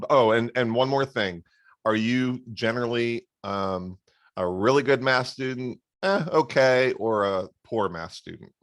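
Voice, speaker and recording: In an American accent, a man with an unremarkable speaking voice talks at a fairly slow pace and medium pitch with ordinary pitch variation, on a very clean recording with a silent background. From Florida, US. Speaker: math tutor. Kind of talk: tutoring session.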